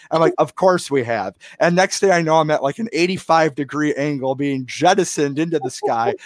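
A man with an American accent and fairly high pitch talks at a moderate pace with hardly any pauses and ordinary pitch variation. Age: 20s. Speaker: podcast host. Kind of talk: interview. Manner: halting.

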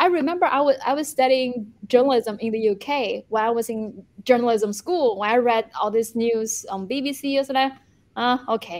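A woman with a high voice talks fairly quickly, her pitch varying in an ordinary way. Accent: Chinese. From China. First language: Chinese. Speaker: journalist and YouTuber. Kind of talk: interview discussion. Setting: video call from Beijing.

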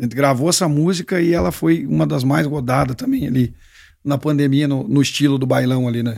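A man with an unremarkable speaking voice talks at a fairly quick pace. His pitch is fairly high, and his intonation is lively. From southwest Paraná, Brazil. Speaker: singer. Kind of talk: casual chat.

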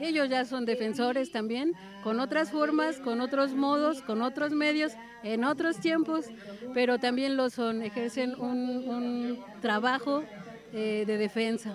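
Amid noticeable background noise, a woman with a high pitch talks fairly slowly with ordinary pitch variation. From Hidalgo, Mexico. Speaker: community correspondent, land defender. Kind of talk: live radio interview.

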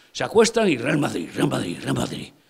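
With noticeable background noise behind him, a man talks in an animated tone at a fairly slow pace. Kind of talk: sermon. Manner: animated, vivid storytelling, repeating names for emphasis; conversational, addressing listeners directly.

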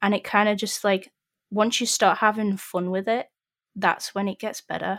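A woman speaks at a moderate pace in a Yorkshire accent, her pitch medium and her intonation flat and monotone. The recording is very clean and dry, close with no echo, over a silent background. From northern England, Sheffield. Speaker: 3D environment artist. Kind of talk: casual chat.

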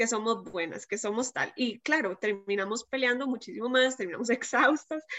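A woman with fairly high pitch talks at a moderate pace with hardly any pauses in an ordinary speaking voice. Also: ordinary pitch variation. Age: 20s. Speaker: writer. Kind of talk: casual chat.

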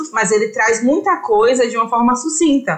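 There is noticeable background noise here. A woman speaks at a fairly high pitch and a moderate pace. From interior of Bahia, Brazil. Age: 20s. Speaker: journalist and theology student. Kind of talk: casual podcast chat.

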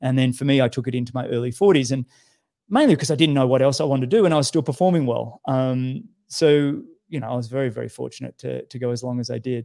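A man with an Australian accent speaks very fast at a medium pitch, his dark, mellow tone carrying ordinary pitch variation. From Australia (Sydney). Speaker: professional triathlete. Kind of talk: casual interview.

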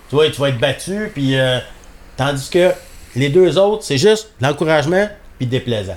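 A man with a Quebec accent speaks at a fairly slow pace in a fairly high voice, his intonation lively and broken by long, frequent pauses. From Labrador, Canada. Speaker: hunting dog breeder. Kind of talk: casual interview.

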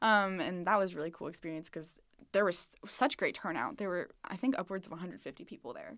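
In a very clean recording with a silent background, a woman with an American accent and a medium pitch uses a normal speaking voice, speaking at a fairly quick pace with lively intonation and big swings in loudness. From southern Missouri, Springfield. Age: 20s. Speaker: college student, social media manager. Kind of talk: casual interview. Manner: filler-heavy, laughs often.

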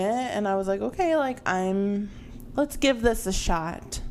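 A normal speaking voice, fairly slow in pace and showing ordinary pitch variation. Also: woman. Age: 20s. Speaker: podcast co-host. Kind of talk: casual chat.

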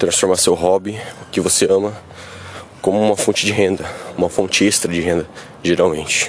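A man's fairly low voice comes through with noticeable background noise. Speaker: bodybuilding youtuber. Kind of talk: casual vlog monologue. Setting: outdoors on the street.

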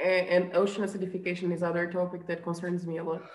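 A woman's fairly low pitch in a Portuguese accent, monotone and flat in intonation. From Azores, Portugal. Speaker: marine biologist and researcher. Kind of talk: casual interview. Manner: halting, with fillers.

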